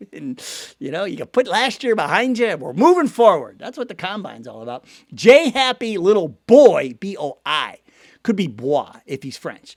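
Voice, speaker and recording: In a very clean recording with a silent background, a man with a Cleveland accent talks at a moderate pace in an animated tone, his high pitch making very wide swings and his loudness shifting a lot. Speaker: sports news channel host. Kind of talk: casual commentary and viewer comment reading. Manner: animated, conversational.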